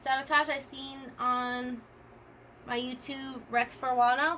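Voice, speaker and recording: Raised and projected, a woman's voice carries a high pitch and a bright, sharp tone. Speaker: streamer. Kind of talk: casual chat. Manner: fast.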